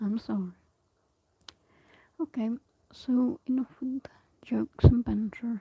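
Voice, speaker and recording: Soft-spoken delivery at a fairly slow pace, with long, frequent pauses. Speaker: ASMR streamer. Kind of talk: casual chat. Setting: live stream.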